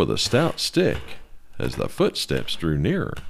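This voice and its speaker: A man at a fairly slow pace. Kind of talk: ghost story narration.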